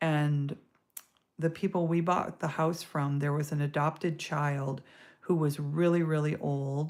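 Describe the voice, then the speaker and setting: A woman with an American accent, her pitch very deep and low, at a fairly slow pace, relaxed in tone, with fairly even intonation, on a very clean recording over a silent background. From US Midwest, Stoughton, Wisconsin. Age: 60s. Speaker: artist. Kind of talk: live-stream drawing chat. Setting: live stream. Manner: relaxed, casual with fillers.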